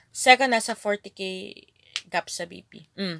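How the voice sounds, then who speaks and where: A woman's medium-pitched voice with vocal fry, a bright, sharp tone and ordinary pitch variation, in a dry, close sound with no echo. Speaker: gaming streamer. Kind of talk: live stream chat.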